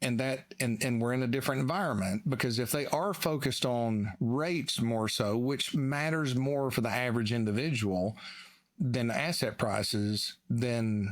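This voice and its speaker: A man with a Southern US accent at a medium pitch and moderate pace, with ordinary pitch variation and very even loudness, in a very clean recording with a silent background. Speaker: financial analyst. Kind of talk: casual chat.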